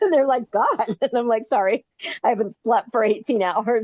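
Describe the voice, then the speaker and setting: Speaking in a Californian accent, a woman with a fairly high pitch keeps an animated tone, ordinary pitch variation and a fairly quick pace. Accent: General American (Californian). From US West Coast, Bay Area, California. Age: 50s. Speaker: ultrarunner and author. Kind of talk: casual chat. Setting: podcast interview.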